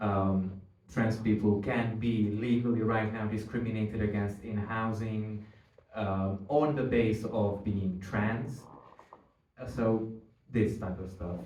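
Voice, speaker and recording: A man with a Hungarian accent, a fairly low pitch, monotone, flat intonation, and a very slow pace, with audible room echo. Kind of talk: panel discussion. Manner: halting, searching for words.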